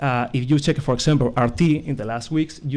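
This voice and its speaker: With a non-native accent, this man has a dark, mellow tone, a medium pitch, and fairly even intonation. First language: not English. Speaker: conference speaker on disinformation. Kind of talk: conference presentation. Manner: halting, many hesitations.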